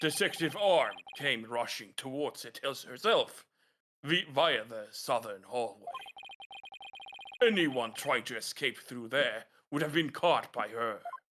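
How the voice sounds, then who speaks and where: Using a put-on character voice, a man speaks at a fairly high pitch and a fairly slow pace, with lively intonation, big swings in loudness and long, frequent pauses. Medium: game stream. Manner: stammering, defensive.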